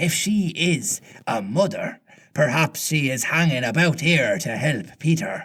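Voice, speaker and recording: A man puts on a character voice, fairly high in pitch, at a fairly slow pace. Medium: read story.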